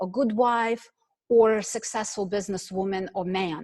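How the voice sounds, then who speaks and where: In a dry, close sound with no echo, a woman with a non-native accent speaks at a fairly slow pace with ordinary pitch variation. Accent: foreign. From Ukraine. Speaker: network marketing executive. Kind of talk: motivational speech. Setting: online call. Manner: animated.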